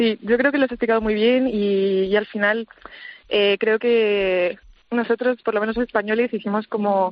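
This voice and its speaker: The delivery comes at a moderate pace with very even loudness and monotone, flat intonation. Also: woman, fairly high pitch for a woman. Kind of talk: radio interview.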